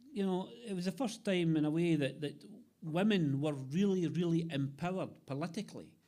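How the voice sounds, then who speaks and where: A man speaks with an Ayrshire accent at a fairly high pitch. His tone is dark and mellow. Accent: Scottish, Ayrshire. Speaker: poet. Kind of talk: poetry reading.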